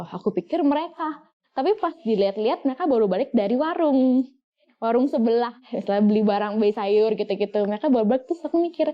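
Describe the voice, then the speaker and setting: At a very fast pace, a woman talks in a high voice with lively intonation and very even loudness. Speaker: guest sharing ghost experiences. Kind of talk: casual storytelling chat. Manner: halting with many fillers.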